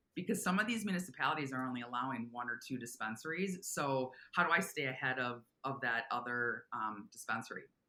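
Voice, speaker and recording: A woman with an American accent speaks fairly quickly in a bright, sharp, enthusiastic tone with lively intonation. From Minnesota. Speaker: commercial real estate broker. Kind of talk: interview.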